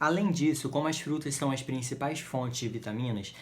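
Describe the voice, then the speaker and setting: A man's plain, everyday voice at medium pitch, fairly quick pace and ordinary pitch variation. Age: 20s. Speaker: patient advocate for a rare genetic disease. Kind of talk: informational talk to camera.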